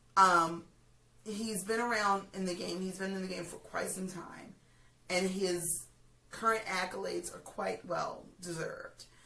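Over noticeable background noise, a woman with a medium pitch and an animated tone talks at a fairly slow pace, with long, frequent pauses and big swings in loudness. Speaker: pop culture vlogger. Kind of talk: casual chat.

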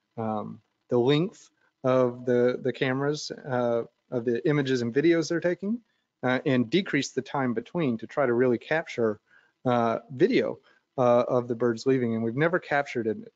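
Ordinary pitch variation and a moderate pace come through against a quiet background. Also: man. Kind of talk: lecture. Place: office. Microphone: webcam.

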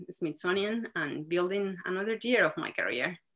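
A woman speaks with lively intonation at a medium pitch. Her tone is bright and sharp. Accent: Spanish. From Mexico City. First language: Spanish. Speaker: marine scientist. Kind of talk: interview.

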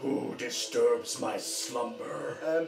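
A man's put-on character voice with clear background noise and a slight echo

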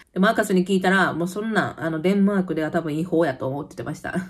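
Against a quiet background, a woman speaks with a Kansai accent. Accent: Kansai dialect Japanese. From Kansai, Japan; Japan. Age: 30s. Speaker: YouTuber; vlogger living abroad. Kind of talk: casual chat. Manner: animated. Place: home room. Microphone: phone near.

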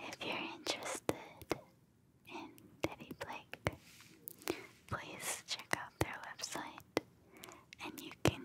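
Loud noise surrounds a woman as she speaks. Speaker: ASMR creator. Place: home room. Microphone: studio mic.

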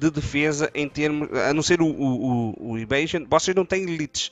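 In a dry recording with no echo, a man speaks in a fairly high pitch with ordinary pitch variation. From Portugal. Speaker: gaming youtuber. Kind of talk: tutorial. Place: home room. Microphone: headset.

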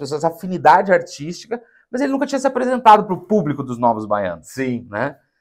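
Against a quiet background, a man speaks in a high pitch with very wide pitch swings. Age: 30s. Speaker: documentary film director; interview guest. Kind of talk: interview. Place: studio.

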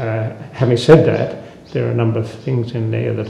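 A man speaks at a moderate pace and medium pitch, with vocal fry, little pitch movement, a dark, mellow tone and audible room echo.

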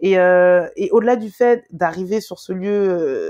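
Recorded dry and close with no echo over a quiet background, a woman's medium-pitched voice has a dark, mellow tone and ordinary pitch variation. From Paris, France (Guadeloupean family). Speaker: travel content creator. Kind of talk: casual interview chat. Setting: remote call. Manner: hesitant, many fillers.

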